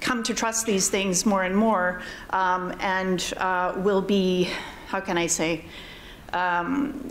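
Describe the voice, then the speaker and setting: Over audible room echo, a woman speaks at a very slow pace with a medium pitch, ordinary pitch variation and very even loudness. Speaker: panelist on AI ethics. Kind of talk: conference panel discussion. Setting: conference hall with audience. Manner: hesitant, many fillers.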